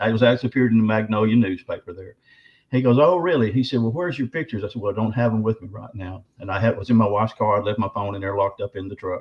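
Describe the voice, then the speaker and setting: The speaker has a Southern US accent and a somewhat breathy voice. Delivery is very fast, with ordinary pitch variation. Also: man. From Arkansas. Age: 60s. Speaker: bigfoot researcher and author. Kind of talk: interview storytelling.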